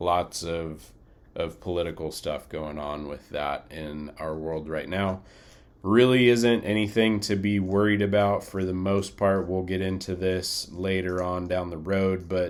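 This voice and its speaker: A man talks in a very deep, low voice. He keeps a fairly slow pace and fairly even intonation. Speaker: flight crew training instructor. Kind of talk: recorded lecture. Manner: monotone; casual, many fillers.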